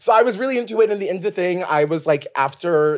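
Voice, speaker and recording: This man's voice is high-pitched and loud, racing along at a very fast pace with lively intonation. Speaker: podcast host. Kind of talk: casual chat. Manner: loud, animated.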